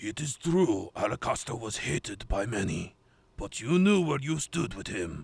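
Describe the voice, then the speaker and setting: Using a put-on character voice, a man sounds raspy at a medium pitch. He speaks at a moderate pace with very wide pitch swings. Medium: audio drama. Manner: formal, terse, serious.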